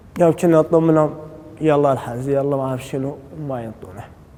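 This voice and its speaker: Noticeable background noise around a man speaking with fairly even intonation. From Syria, Raqqa. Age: 20s. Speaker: former prisoner. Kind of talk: testimony. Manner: halting.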